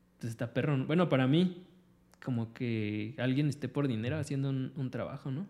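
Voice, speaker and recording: Here a man talks with a Mexican accent in a dark, mellow tone. His pace is moderate. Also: medium pitch for a man, ordinary pitch variation. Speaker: podcast co-host. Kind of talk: casual chat.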